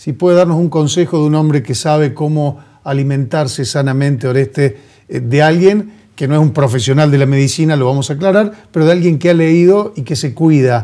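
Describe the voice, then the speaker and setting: A man's fairly high-pitched voice with a dark, mellow tone, ordinary pitch variation, and a fairly quick pace over a quiet background. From Argentina. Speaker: TV host. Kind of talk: TV interview. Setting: TV studio. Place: studio.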